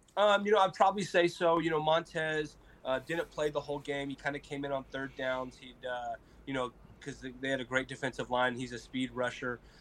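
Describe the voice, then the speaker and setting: This man has an unremarkable speaking voice with an American accent, pitched fairly high. He talks at a fairly quick pace with ordinary pitch variation. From small town Colorado. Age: 20s. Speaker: college football player, NFL draft prospect. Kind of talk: interview, casual. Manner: friendly, casual, says 'man' and 'bro' often.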